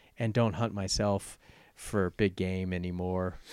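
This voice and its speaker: A man with an American accent at a moderate pace, fairly even intonation and an unremarkable speaking voice. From Richmond, Virginia. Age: 50s. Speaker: real estate agent. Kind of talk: casual interview.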